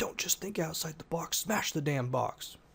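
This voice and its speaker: A man puts on a character voice, fairly high in pitch with ordinary pitch variation. His loudness stays very even and his pace is moderate. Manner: barking, commanding.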